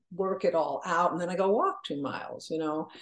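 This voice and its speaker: A woman's fairly low voice at a fairly quick pace, fairly even in intonation, over noticeable background noise. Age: 70s. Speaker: author and humorist. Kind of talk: casual interview chat.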